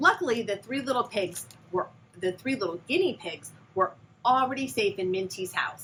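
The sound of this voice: The voice reads in an unforced way. It is an unforced reading voice.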